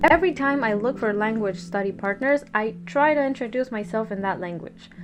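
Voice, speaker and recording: The speaker talks at a fairly quick pace with a Spanish accent. The intonation is lively. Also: woman, fairly high pitch for a woman. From Peru. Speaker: content creator. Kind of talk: storytime narration.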